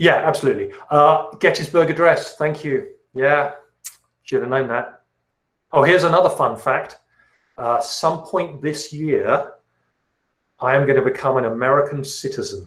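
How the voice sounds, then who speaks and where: Speaking at a moderate pace with long, frequent pauses, a man in a British accent is heard with audible room echo. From England, south of London. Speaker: chemistry teacher. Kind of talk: class orientation and Q&A. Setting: video call.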